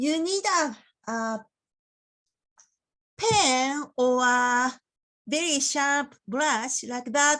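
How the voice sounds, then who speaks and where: A woman with a Japanese accent, high-pitched and bright, sharp in tone, with lively intonation, a very slow pace, and long, frequent pauses. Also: quiet background. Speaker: porcelain painting teacher. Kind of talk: tutorial. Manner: careful, deliberate.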